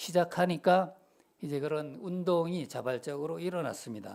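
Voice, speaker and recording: This man uses a normal speaking voice, moving at a fairly slow pace with fairly even intonation. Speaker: preacher. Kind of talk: sermon. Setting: church. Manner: conversational, asks congregation questions.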